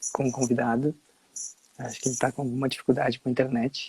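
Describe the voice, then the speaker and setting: Dry and close with no echo, a man's dark, mellow, somewhat breathy voice moves at a fairly quick pace in a monotone, flat intonation. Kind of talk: casual live stream chat. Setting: Instagram live video call.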